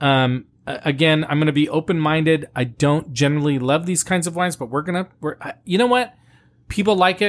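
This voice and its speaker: With an American accent, a man talks fairly quickly at a fairly high pitch with ordinary pitch variation. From US, Italian American family. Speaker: wine podcast host. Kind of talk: casual chat and wine tasting review. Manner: animated.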